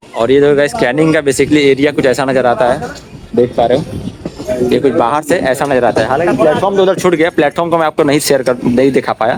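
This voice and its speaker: Noticeable background noise sits behind a man whose loudness stays very even. His pitch is fairly high, with ordinary variation. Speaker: travel vlogger. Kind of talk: vlog narration. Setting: on a train and station platform. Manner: fast.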